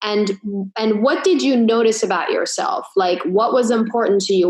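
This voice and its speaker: Ordinary pitch variation marks the voice. It belongs to a woman. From grew up abroad, moved to the US at 16. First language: not English. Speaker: chiropractor and business coach. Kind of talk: casual podcast interview.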